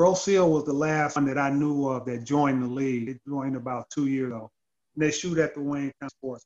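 A man with an American accent speaks at a fairly quick pace in a normal speaking voice, his pitch fairly high and his intonation fairly even, against a quiet background. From Detroit, Michigan. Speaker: gun club vice president, retired police officer; podcast guest. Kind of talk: interview. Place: home room. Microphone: video call.

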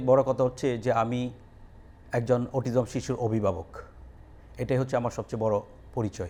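This man speaks at a medium pitch in a dark, mellow tone, keeping his intonation fairly even. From rural Bangladesh. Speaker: special school principal. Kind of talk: interview. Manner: halting.

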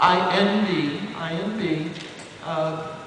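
A high-pitched man's voice in strong room echo, with noticeable background noise. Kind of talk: meeting answer to question. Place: hall.

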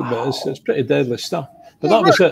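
A man speaks with a Scottish accent. There is light noise in the background. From Scotland. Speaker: retired whisky distiller; guest. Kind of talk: casual chat. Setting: video call. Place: home room. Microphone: earbuds.

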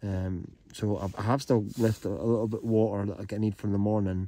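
A man speaks at a fairly low pitch in a dark, mellow tone, with little pitch movement.

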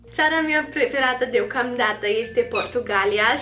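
A high-pitched woman's raised, projected voice with an American accent and an upbeat tone, over noticeable background noise. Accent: American accent in Romanian. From United States. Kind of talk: casual talk to camera.

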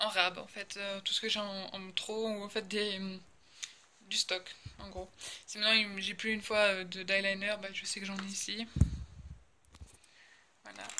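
Flat, monotone delivery from a woman at a medium pitch, at a fairly slow pace. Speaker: beauty vlogger. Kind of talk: casual talk to camera.

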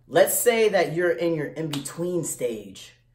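A man is speaking over a quiet background. His pace is fairly slow. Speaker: vlogger giving advice. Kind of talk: casual vlog chat.

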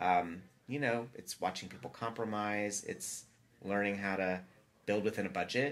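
A man with an American accent speaks in a plain, everyday voice at a fairly low pitch. His pace is moderate, with fairly even intonation. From Atlanta, US South; Georgia. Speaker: architecture firm principal; podcast guest. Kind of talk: casual interview chat. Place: office.

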